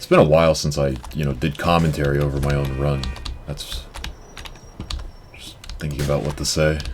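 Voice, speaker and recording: Music plays in the background. The speech moves at a fairly quick pace, broken by long, frequent pauses. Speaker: speedrunner. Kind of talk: live gameplay commentary. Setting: live-streamed marathon event.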